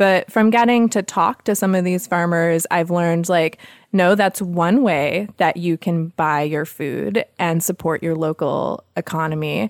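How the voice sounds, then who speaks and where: A woman with an American accent has an unremarkable speaking voice, fairly low in pitch, with ordinary pitch variation, speaking at a fairly slow pace with hardly any pauses. The recording is very clean with a silent background and a dry, close sound with no echo. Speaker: homesteader and podcast host. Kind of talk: casual interview chat.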